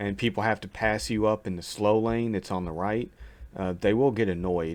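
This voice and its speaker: A man speaks with a Kentucky accent at a moderate pace. His pitch is fairly low, with ordinary variation. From Kentucky, US. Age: 40s. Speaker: YouTube reaction reviewer. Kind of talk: casual video commentary. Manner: hesitant, many fillers.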